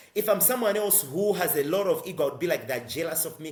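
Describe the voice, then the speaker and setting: A man's high-pitched voice moves at a fairly quick pace over noticeable background noise. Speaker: social entrepreneur and climate advocate. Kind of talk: interview. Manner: fast.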